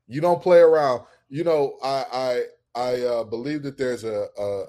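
A man with an American accent speaks at a moderate pace in a medium pitch with a dark, mellow tone. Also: quiet background. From Detroit, Michigan. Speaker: college football podcaster. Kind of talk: casual sports chat.

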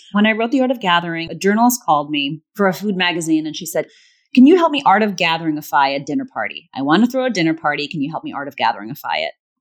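Very fast speech from a woman with a fairly low pitch and very wide pitch swings, over a quiet background. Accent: General American. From Virginia, US. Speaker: author and facilitator. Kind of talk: interview conversation.

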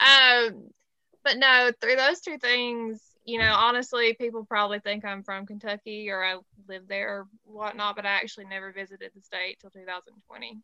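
A woman with a bright, sharp tone and fairly high pitch speaks at a moderate pace with fairly even intonation and big swings in loudness, in a dry, close sound with no echo. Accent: Southern US. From Alabama. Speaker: music podcast host and artist manager. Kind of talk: casual panel chat.

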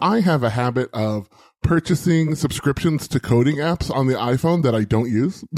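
With an ordinary speaking voice and lively intonation, a man pitched fairly high talks at a moderate pace and very even loudness. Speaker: podcaster and IT administrator. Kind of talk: casual chat.

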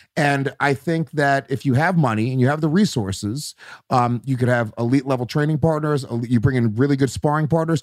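Here is a man with an unremarkable speaking voice and fairly high pitch. He talks at a fairly quick pace with ordinary pitch variation. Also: very clean recording, silent background. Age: 30s. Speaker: comedian. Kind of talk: casual chat.

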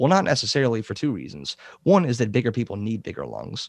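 Very fast-paced man at a medium pitch, with vocal fry. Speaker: science YouTuber. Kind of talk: casual interview chat. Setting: remote call. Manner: halting, hesitant with filler words.

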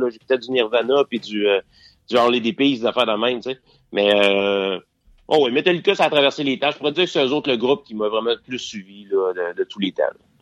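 A man talks at a fairly quick pace in a Quebec accent. His intonation is lively. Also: medium pitch for a man. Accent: Québécois French. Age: 40s. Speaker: podcast host. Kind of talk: casual interview. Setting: phone call.

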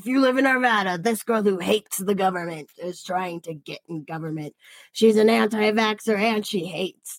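Using a put-on character voice in a dramatic tone, a woman speaks at medium pitch with a raspy edge and big swings in loudness. Her moderate pace comes through a dry, close sound with no echo. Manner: dramatic, accusatory.

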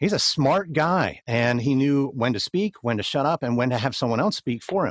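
A man talks at a moderate pace with medium pitch and lively intonation. The sound is dry and close with no echo, on a very clean recording with a silent background. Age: 40s. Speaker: podcast host and producer. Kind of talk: interview. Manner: halting, many fillers and repeats.

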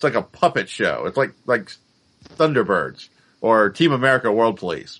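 With lively intonation and an ordinary speaking voice, this man talks at a moderate pace. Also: medium pitch for a man. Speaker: podcast co-host. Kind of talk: casual chat.

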